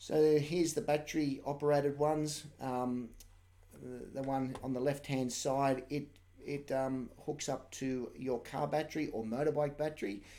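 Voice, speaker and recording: Dark, mellow tone from a man with an Australian accent and fairly even intonation. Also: fairly high pitch for a man, moderate pace. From Australia, New South Wales. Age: 40s. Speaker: shearer. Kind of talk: live-stream tutorial. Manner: casual, hesitant with many fillers.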